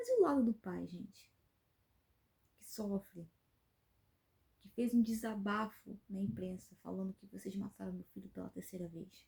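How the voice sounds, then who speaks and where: A woman at a moderate pace, with long, frequent pauses and big swings in loudness. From Brazil, Rio de Janeiro state (Angra dos Reis). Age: 30s. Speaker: YouTuber, commentary channel host. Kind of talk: opinion commentary vlog. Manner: indignant, emphatic with hesitations.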